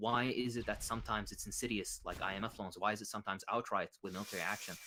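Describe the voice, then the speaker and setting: A man talks very fast in a fairly low pitch, his tone bright and sharp and his intonation fairly even. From Iraq. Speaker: political commentator. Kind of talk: interview.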